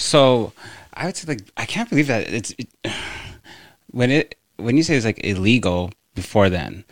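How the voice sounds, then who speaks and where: With lively intonation, a man talks at medium pitch, pausing long and often. The sound is dry and close, with no echo. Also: moderate pace. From Northwest Territories, Canada. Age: 30s. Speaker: podcast host. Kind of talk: casual interview. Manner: halting, many fillers.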